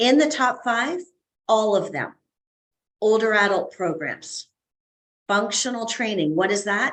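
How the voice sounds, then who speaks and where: Her fairly high pitch and animated tone come through as the woman speaks at a fairly slow pace with long, frequent pauses. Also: lively intonation. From Canada. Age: 60s. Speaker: fitness educator and consultant. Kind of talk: podcast interview. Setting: video call.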